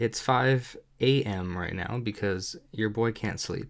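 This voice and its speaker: The man's fairly low pitch shows ordinary pitch variation in a very clean recording with a silent background. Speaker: online marketing tutorial maker. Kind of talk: screen-recorded tutorial. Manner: halting, many fillers; casual.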